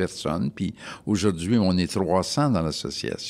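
A man with a very deep, low pitch. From Montreal, Quebec. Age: 70s. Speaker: retired HR worker and travel guide. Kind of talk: casual chat. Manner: hesitant, many fillers.

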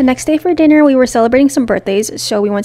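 A woman's fairly high voice with an American accent and ordinary pitch variation, amid noticeable background noise. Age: 20s. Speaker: travel and food vlogger. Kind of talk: vlog narration. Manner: casual, chatty.

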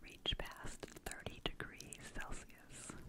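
Soft-spoken and whispering, a woman talks over loud background noise. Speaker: ASMR creator. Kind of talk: soft-spoken reading of facts. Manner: close-mic ASMR whisper, soft and slow. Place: home room. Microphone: studio mic.

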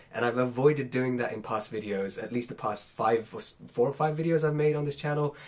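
This man talks at a very fast pace. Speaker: science educator youtuber. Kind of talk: unscripted explainer video. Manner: casual, conversational.

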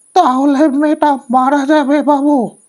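This put-on character voice sits at a high pitch and sounds shrill. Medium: read story. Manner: terse.

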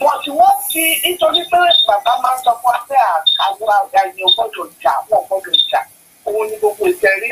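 A man's extremely high pitch with very wide swings, at a moderate pace over noticeable background noise. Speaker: caller, pastor. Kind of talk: call-in comment. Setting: phone call. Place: home room.

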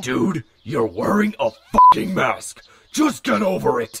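With sound effects in the background, a man in a put-on character voice talks at a fairly slow pace and medium pitch.

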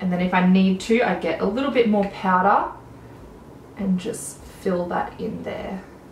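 A woman with an Australian accent speaks at a fairly slow pace, with audible room echo and light background noise. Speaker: beauty vlogger. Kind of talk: casual chat. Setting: home video recording. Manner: animated. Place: home room.

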